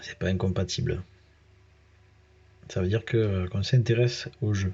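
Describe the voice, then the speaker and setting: A man speaks in a southern French accent. His voice is fairly low in pitch and somewhat breathy. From southern France. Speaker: gaming youtuber. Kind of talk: gameplay commentary. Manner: casual, hesitant with many fillers.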